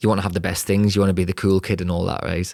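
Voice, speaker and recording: A man speaks in a Geordie accent at a fairly low pitch. His intonation is fairly even, and the recording is very clean with a silent background. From northern England, Newcastle upon Tyne. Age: 30s. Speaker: podcast host and property entrepreneur. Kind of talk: personal story monologue.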